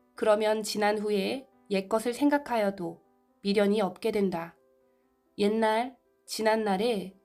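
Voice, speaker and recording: Music plays in the background as a woman speaks at a very slow pace. Her pitch is fairly high and her intonation fairly even. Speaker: amateur narrator, video maker. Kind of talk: sermon text reading.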